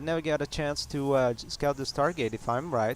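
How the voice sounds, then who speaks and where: At a moderate pace, a man speaks in a medium-pitched voice. His pitch varies in an ordinary way. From Quebec. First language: French. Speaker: game commentator. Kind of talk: live game commentary. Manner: halting, many fillers.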